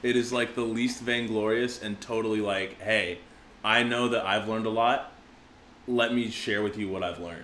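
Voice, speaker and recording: A man speaks at a moderate pace with a bright, sharp tone and fairly even intonation. There is audible room echo. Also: medium pitch for a man. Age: 20s. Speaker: podcast host and opera singer. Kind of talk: casual chat.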